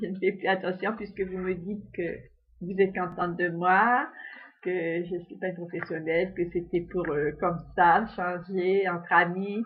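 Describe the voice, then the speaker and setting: A woman talks at a fairly slow pace in a medium pitch. Her intonation is monotone and flat. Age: 70s. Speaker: amateur singer. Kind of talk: casual monologue. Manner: halting.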